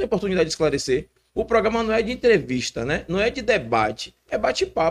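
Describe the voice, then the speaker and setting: Very wide pitch swings at a very fast pace. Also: man. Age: young. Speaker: podcast co-host. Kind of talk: casual chat.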